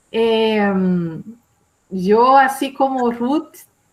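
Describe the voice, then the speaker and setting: Her pitch is fairly high with ordinary variation. This woman speaks with a Brazilian accent. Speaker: academic commentator. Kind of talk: academic panel commentary. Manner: hesitant, many fillers; slow, careful.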